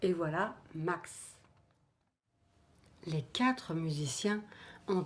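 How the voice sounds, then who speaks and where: A woman's voice is somewhat breathy with a fairly low pitch. She speaks at a very slow pace with ordinary pitch variation. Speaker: storyteller. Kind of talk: children's story telling.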